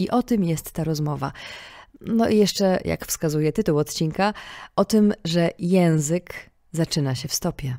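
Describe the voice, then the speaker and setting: At a fairly slow pace, a woman speaks in a calm, fairly low voice with a dark, mellow tone and ordinary pitch variation, in a very clean recording with a silent background that sounds dry and close with no echo. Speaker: podcast host. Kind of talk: scripted narration; casual chat. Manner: calm, clear diction.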